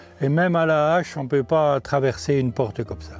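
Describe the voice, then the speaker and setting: Music plays in the background. Over it, a man talks at a moderate pace and a fairly high pitch with ordinary pitch variation. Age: 70s. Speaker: local guide. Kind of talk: informal explanation on location.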